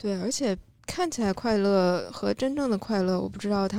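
A woman speaks at a medium pitch and a moderate pace, in a dark, mellow tone with ordinary pitch variation. The recording is very clean, with a silent background. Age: middle-aged. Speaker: content creator with a Chinese literature degree. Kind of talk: casual panel discussion.

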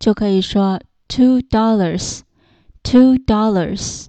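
The woman's intonation stays fairly even. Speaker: English teacher. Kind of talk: lesson tutorial. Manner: slow, repetitive for learners.

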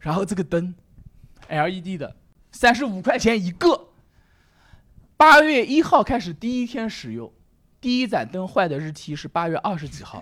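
Long pauses come often. Between them, the speech moves at a moderate pace. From Nanjing, China. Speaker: comedy club owner and stand-up comedian. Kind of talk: casual chat.

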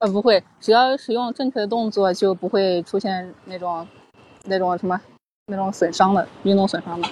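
A woman's voice at medium pitch, with fairly even intonation and a moderate pace. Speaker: golf coach. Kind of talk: casual chat. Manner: soft-spoken.

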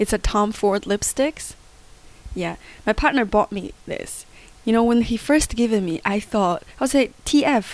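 A woman speaks at a fairly slow pace in a Chinese accent. Her fairly high pitch shows ordinary variation. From Inner Mongolia, China. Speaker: comedian. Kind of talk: casual interview chat. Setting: recorded at home. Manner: animated, energetic.

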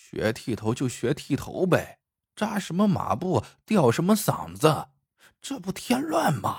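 A put-on character voice from a man, fairly high-pitched for a man, husky and rough-edged with vocal fry, fairly slow, with very wide pitch swings, on a very clean recording with a silent background.

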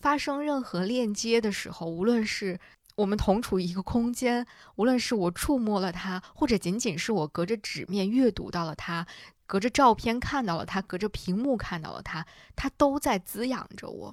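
Recorded very cleanly against a silent background, with a dry, close sound and no echo, a woman with an unremarkable speaking voice talks at a moderate pace in a fairly high pitch with lively intonation. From northern China, Hebei. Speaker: podcast host. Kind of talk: scripted narration.

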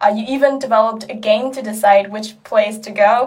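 A woman with a somewhat breathy voice speaks at a moderate pace. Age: 20s. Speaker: student podcast host. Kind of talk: interview.

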